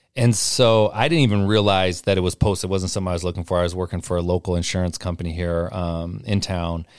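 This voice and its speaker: In a very clean recording with a silent background, a man with an American accent talks at a very fast pace with hardly any pauses and a very deep, low pitch. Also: fairly even intonation. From Portland, Oregon. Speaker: basketball tournament director, former college player. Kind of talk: casual chat.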